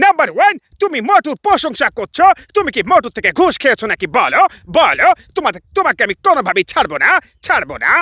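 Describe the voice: Putting on a character voice, a man speaks at an extremely high pitch with very wide pitch swings and a moderate pace.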